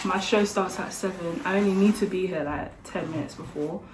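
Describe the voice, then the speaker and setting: With a slight London accent, a woman talks at a medium pitch and a fairly quick pace over noticeable background noise. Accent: slightly Essex-leaning London. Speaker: medical student and vlogger. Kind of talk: casual vlog talk. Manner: casual, chatty.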